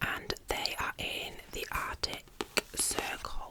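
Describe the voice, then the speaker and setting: A woman whispering very slowly over noticeable background noise. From England. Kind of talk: ASMR book review. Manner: whispered, soft-spoken.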